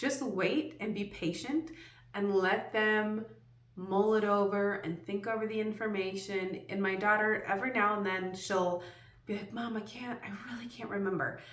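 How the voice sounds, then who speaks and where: Amid audible room echo, a woman speaks at a medium pitch with ordinary pitch variation. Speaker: homeschooling parent and video creator. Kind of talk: tutorial. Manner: fast.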